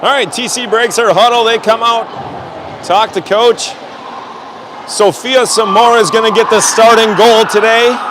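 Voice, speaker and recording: A man with a high pitch speaks in a flat monotone at a moderate pace. He takes long, frequent pauses over noticeable background noise. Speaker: amateur hockey play-by-play commentator. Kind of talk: live commentary. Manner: loud.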